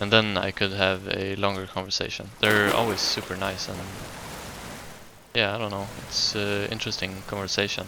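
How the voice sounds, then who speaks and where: With noticeable background noise and audible room echo, someone with a Swedish accent speaks at a moderate pace with monotone, flat intonation and long, frequent pauses. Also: man, fairly low pitch for a man. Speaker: gaming YouTuber. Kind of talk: casual gameplay commentary. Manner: hesitant, many fillers.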